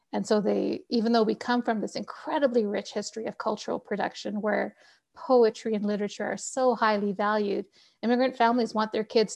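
A woman speaks at a fairly high pitch with fairly even intonation and vocal fry. The background is quiet. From Canada. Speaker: novelist. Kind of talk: interview.

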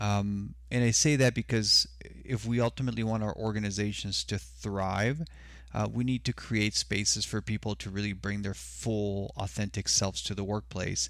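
Very wide pitch swings mark this man's fairly low voice at a moderate pace. The recording is very clean, with a silent background. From Mexico (Sonora), raised in US border region. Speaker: consultant. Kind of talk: casual chat.

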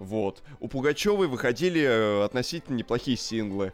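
A man with an unremarkable speaking voice talks at a moderate pace, with medium pitch and lively intonation. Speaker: podcast co-host. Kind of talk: casual chat.

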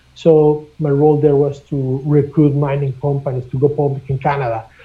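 Speaking at a moderate pace with a Spanish accent, a man delivers flat, monotone intonation in a somewhat breathy, fairly high voice. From Mexico. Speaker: mining company executive. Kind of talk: interview. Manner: halting, many repeated words.

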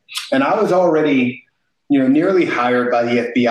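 An American accent marks this man's ordinary speaking voice, which moves at a moderate pace with ordinary pitch variation. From East St. Louis, Illinois. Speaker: company founder and navy veteran. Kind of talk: interview.

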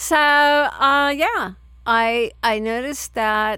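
A woman with an American accent, her tone bright and sharp, on a very clean recording with a silent background. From San Francisco, US. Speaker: puppy play enthusiast. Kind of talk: casual chat.

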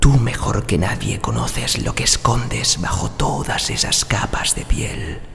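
Over noticeable background noise, a man speaks very slowly in a theatrical tone. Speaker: voice actor. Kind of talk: dramatic character narration, voice-over demo. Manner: theatrical, intimate and coaxing, like a sly seductive character.

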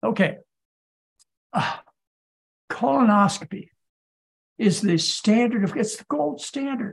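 At a fairly slow pace, a man with a high pitch speaks with lively intonation, long, frequent pauses and big swings in loudness. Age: 70s. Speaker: physician. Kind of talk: lecture. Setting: video call.

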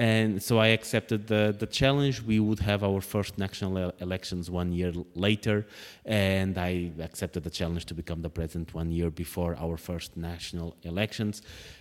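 A very deep, low-pitched man with a Portuguese accent at a moderate pace, ordinary pitch variation and hardly any pauses, on a very clean recording with a silent background. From Portugal. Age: 30s. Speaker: politician. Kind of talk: interview. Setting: parliament office.

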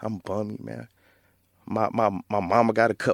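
A man with an American accent uses a normal speaking voice at a fairly low pitch with fairly even intonation. The recording is very clean with a silent background and a dry, close sound with no echo. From Flint, Michigan. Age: 30s. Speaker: author. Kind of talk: casual interview.

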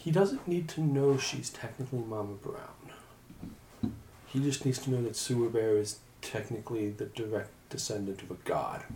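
A man with a normal speaking voice talks at a moderate pace in a medium pitch with ordinary pitch variation. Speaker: tabletop roleplaying player. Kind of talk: tabletop roleplaying game session, casual banter.

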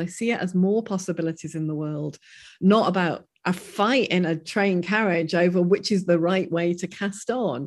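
A woman with an unremarkable speaking voice talks at a moderate pace, using ordinary pitch variation. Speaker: professor. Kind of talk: interview discussion.

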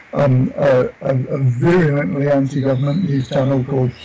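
Noticeable noise sits in the background. A man talks through it at a moderate speed. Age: 60s. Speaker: community worker and activist. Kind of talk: interview. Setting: remote call with rain in background. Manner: halting, repeats words.

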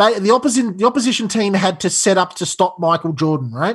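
Speech comes at a moderate pace. An Australian accent is heard. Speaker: football podcast co-host. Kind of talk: casual chat.

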